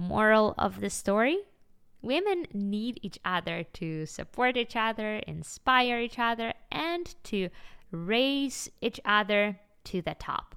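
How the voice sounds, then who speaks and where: In a very clean recording with a silent background, a woman with a fairly high pitch and a bright, sharp tone speaks at a very slow pace with lively intonation. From Ukraine (Kyiv). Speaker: podcast host, entrepreneur. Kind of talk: casual storytelling monologue. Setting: home, living room.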